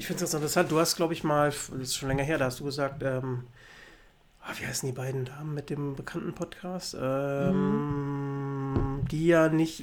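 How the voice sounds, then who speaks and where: Amid noticeable background noise, a man with a fairly high voice speaks at a moderate pace. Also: fairly even intonation. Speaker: podcast co-host. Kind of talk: casual chat.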